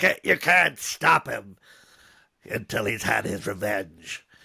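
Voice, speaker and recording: A man's raspy, put-on character voice in a New York accent. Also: fairly low pitch for a man, fairly slow pace. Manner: out for blood, menacing.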